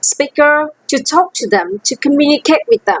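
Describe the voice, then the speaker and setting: A woman's high-pitched voice with a Vietnamese accent, lively intonation, and a dry, close sound with no echo. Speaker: language teacher. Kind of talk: teaching demo lesson.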